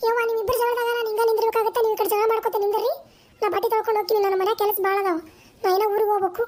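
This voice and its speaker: A woman does a cartoonish character voice at an extremely high pitch and a very fast pace. Her intonation stays monotone and flat, with very even loudness. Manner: hurried, exasperated.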